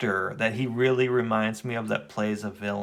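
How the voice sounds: The voice reads naturally. Its intonation is fairly even.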